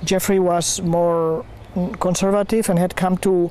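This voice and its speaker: Here a man talks with a Spanish accent. His voice sits high in pitch. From Spain. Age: 50s. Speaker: community founder. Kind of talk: interview. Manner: halting.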